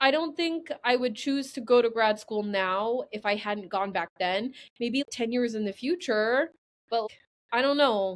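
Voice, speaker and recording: In a very clean recording with a silent background, a woman with an American accent and an unremarkable speaking voice talks at a moderate pace, her fairly high pitch carrying lively intonation. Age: 30s. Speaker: guest, former grad student. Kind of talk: casual conversation.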